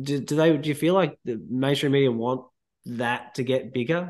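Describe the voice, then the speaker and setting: Speaking with an Australian accent, a man uses medium pitch and ordinary pitch variation. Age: 30s. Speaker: podcast host. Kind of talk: casual chat.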